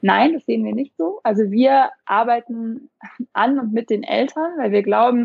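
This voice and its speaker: At a moderate pace, a woman talks in an unremarkable speaking voice, fairly high-pitched with ordinary pitch variation. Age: 30s. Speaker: startup founder, parenting coach. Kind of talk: interview.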